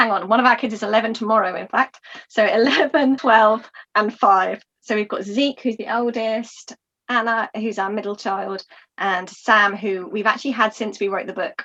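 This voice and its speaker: With a southern English accent, a woman talks in a bright, sharp tone at a fairly high pitch, her intonation fairly even. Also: moderate pace. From Eastbourne, south-east England. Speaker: author and mother. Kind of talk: podcast interview.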